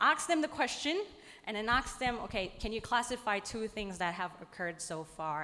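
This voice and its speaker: A woman with a non-native accent talks at a moderate pace and fairly high pitch. Her pitch swings very widely. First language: not English. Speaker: lecturer. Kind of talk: conference presentation.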